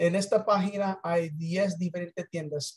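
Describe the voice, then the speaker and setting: Against a quiet background, a man with a high pitch speaks very slowly with fairly even intonation. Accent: English. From United States. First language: English (speaking Spanish). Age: 60s. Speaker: business presenter; presenter. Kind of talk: sales pitch. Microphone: video call.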